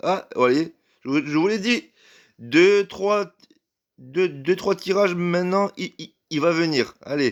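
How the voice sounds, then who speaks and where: A high-pitched man speaks very slowly with lively intonation and long, frequent pauses. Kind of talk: casual gaming commentary. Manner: stuttering.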